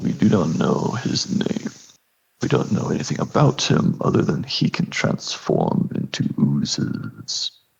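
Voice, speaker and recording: This is a put-on character voice from a man. He goes at a fairly slow pace. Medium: actual play. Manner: formal, measured.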